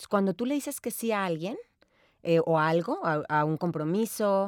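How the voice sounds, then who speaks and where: In an unremarkable speaking voice, a woman talks at a medium pitch with lively intonation. The sound is dry and close, with no echo. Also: very clean recording, silent background. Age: 40s. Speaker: time management expert and seminar speaker. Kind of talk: interview.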